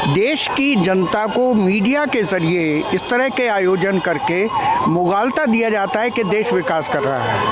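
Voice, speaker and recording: A man with a high voice speaks at very even loudness, with audible room echo and crowd noise behind him. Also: lively intonation, hardly any pauses. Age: 70s. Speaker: interviewee, member of the public. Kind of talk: street interview.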